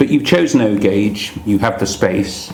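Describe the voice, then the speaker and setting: A man with an English accent, very wide pitch swings, a very slow pace, and noticeable background noise. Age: 60s. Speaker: magazine presenter interviewing a modeller. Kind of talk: casual interview. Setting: at the guest's home.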